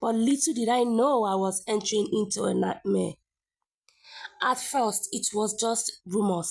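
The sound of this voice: A woman of medium pitch speaks at a moderate pace with vocal fry.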